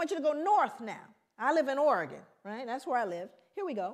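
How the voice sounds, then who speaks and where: A woman with an American accent speaks at a high pitch and a fairly quick pace. Her intonation is lively. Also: quiet background. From South Central Los Angeles, US; Los Angeles, California. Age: 50s. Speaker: researcher and lecturer; lecturer. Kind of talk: lecture. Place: hall.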